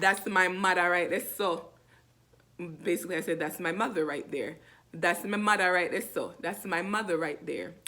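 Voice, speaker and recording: A woman speaks with a Jamaican accent at a medium pitch. Her pace is moderate and her intonation fairly even. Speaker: language teacher. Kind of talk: tutorial. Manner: casual, repetitive.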